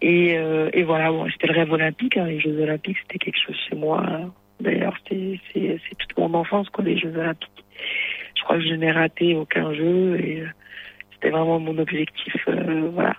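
A woman's fairly low voice with fairly even intonation, over noticeable background noise. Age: 30s. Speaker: judoka. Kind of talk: interview.

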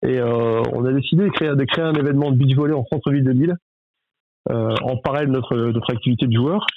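Talking at a very fast pace, a man keeps his loudness very even while his pitch varies in an ordinary way. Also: medium pitch for a man. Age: 30s. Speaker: volleyball club general manager, former pro player. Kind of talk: interview. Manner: hesitant, many fillers and repetitions.

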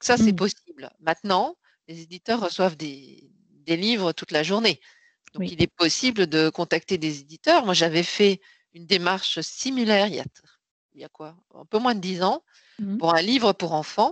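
In a dry, close recording with no echo and a quiet background, a woman speaks at medium pitch and moderate pace, her intonation lively and her loudness swinging widely. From Belgium. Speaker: sales strategy consultant and author. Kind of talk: interview. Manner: halting.

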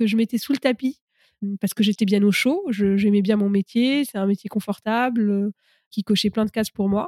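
A woman talks at a moderate pace with ordinary pitch variation, her voice dry and close with no echo on a very clean recording with a silent background. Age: 30s. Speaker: startup coach, former venture capitalist. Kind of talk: interview.

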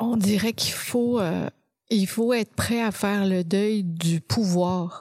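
With a Quebec accent, a woman speaks at a very slow pace and medium pitch, keeping her intonation fairly even. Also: very even loudness. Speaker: occupational therapist and professor. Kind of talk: interview.

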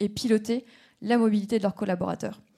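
This woman has a fairly high, somewhat breathy voice with a dark, mellow tone. Her intonation stays monotone and flat. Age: 30s. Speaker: startup representative. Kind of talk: startup pitch.

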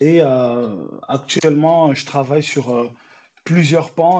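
With fairly even intonation, a man speaks in a fairly high voice. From France, Besançon and Paris suburbs (born in Angola). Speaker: entrepreneur, food show producer. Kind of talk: interview. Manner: hesitant, many fillers.

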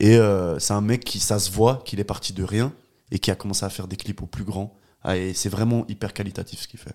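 A man's fairly low, dark, mellow voice at a fairly quick pace, fairly even in intonation with big swings in loudness, on a very clean recording with a silent background. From Geneva, Switzerland (Palettes area). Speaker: filmmaker and music video director. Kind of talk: casual interview chat.

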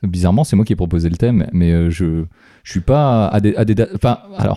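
The dry, close sound has no echo as a man speaks at a moderate pace. His tone is dark and mellow, with ordinary pitch variation. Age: 30s. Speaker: podcast host. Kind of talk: casual chat.

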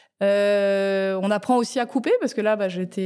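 At a moderate pace, a woman speaks at medium pitch with a dark, mellow tone. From Tokyo, London and France. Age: 40s. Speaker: food entrepreneur. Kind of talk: interview. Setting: office space in Paris.

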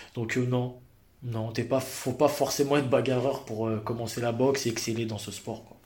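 Audible room echo surrounds a man talking at a moderate pace and medium pitch, his intonation monotone and flat while his loudness swings widely. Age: 30s. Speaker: Muay Thai fighter. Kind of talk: casual chat.

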